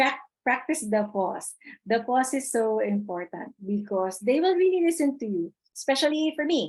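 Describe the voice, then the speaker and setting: A woman speaks at a high pitch. Her voice swings very widely in pitch. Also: moderate pace. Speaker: webinar presenter. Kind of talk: webinar lecture.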